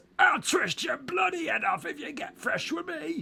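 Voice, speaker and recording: A man's put-on, raspy character voice, shouting at an extremely high pitch at a moderate pace. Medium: read story. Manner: rambling, colloquial.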